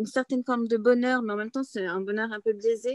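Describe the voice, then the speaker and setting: A woman speaks with fairly even intonation. The sound is dry with no echo, and the background is quiet. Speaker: bookseller. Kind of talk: author interview. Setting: open bookshop. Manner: halting, many hesitations. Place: home room. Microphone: video call.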